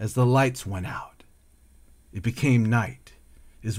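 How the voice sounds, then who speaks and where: A man speaks at a fairly slow pace in an unremarkable speaking voice. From California. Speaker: poet and artist. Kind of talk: spoken word poetry, rhythmic and rhyming, reflective and tender. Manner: flowing and lyrical, emotive, cadenced delivery.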